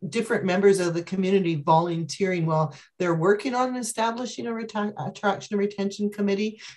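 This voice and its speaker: At a fairly quick pace, a woman speaks at a medium pitch with ordinary pitch variation in a plain, everyday voice. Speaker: physician resource planner. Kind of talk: webinar Q&A. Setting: video call.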